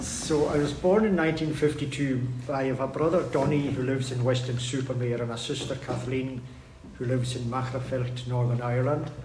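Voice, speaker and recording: Over noticeable background noise and audible room echo, a man talks fairly quickly at a medium pitch with fairly even intonation. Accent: Hebridean. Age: 70s. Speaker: local businessman. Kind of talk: life story talk to audience. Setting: community hall with audience.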